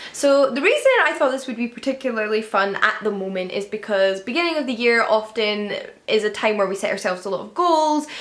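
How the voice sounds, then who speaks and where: Fairly quick pace with hardly any pauses and lively intonation, over noticeable background noise. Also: woman, fairly high pitch for a woman. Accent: Scottish. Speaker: book youtuber. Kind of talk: casual chat. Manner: conversational.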